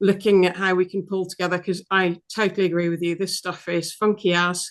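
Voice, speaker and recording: Against a quiet background, a woman speaks with a British accent at a fairly quick pace. Her intonation is flat and monotone. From UK. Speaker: veterinary apheresis specialist. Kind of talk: casual chat.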